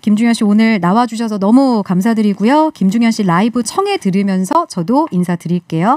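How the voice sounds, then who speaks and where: Speaking at a fairly quick pace with hardly any pauses, a woman with a fairly high pitch sounds cheerful, recorded dry with no echo over a quiet background. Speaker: radio host. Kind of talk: radio interview. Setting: studio. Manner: cheerful, laughs often. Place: studio. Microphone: studio mic.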